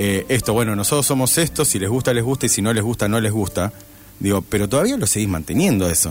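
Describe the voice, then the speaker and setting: Very fast speech from a man at a fairly low pitch, with ordinary pitch variation, very even loudness and music in the background. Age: 40s. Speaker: radio host. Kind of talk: casual chat. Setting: radio studio.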